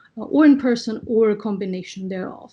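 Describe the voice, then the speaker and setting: A woman with a fairly high pitch speaks at a fairly quick pace, her dark, mellow tone somewhat breathy and her intonation lively. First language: French. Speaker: arbitration law panelist. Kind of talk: online panel presentation. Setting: video call. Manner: measured, with frequent fillers.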